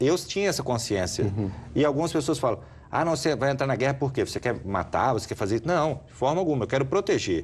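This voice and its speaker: On a very clean recording with a silent background, a man at medium pitch speaks at a very fast pace with vocal fry, very wide pitch swings and very even loudness. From Minas Gerais, Brazil. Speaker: US Army sergeant, war veteran. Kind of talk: interview answer.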